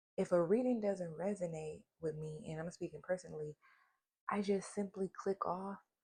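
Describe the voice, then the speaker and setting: At a moderate pace, a woman with a somewhat breathy, dark, mellow voice speaks at a medium pitch with ordinary pitch variation, the sound dry and close with no echo. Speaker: tarot reader. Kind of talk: casual chat. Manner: animated.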